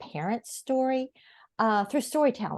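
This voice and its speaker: A woman with an American accent talks in a high voice with lively intonation. The sound is dry and close with no echo, over a quiet background. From US Midwest, Noblesville, Indiana. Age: 60s. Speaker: author. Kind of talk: interview.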